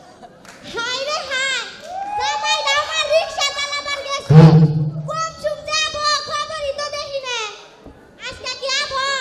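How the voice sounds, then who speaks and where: Put-on character voice, fairly slow and fairly even in intonation, with big swings in loudness. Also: woman, extremely high pitch for a woman. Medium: comedy sketch. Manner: loud, wailing.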